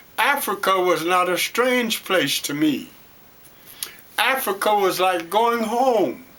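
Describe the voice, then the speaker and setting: A raised, projected voice with an American accent, a bright, sharp tone and lively intonation moves at a very slow pace. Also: man, high pitch for a man. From Detroit, Michigan. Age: 80s+. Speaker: storyteller and former city councilman. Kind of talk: interview. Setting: at home.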